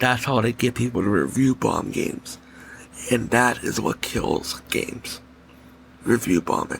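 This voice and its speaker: Soft-spoken, the speaker moves at a fairly slow pace with long, frequent pauses. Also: man, medium pitch for a man. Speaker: gaming podcast host. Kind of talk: solo podcast commentary. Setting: home recording late at night. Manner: soft, under his breath; animated, opinionated.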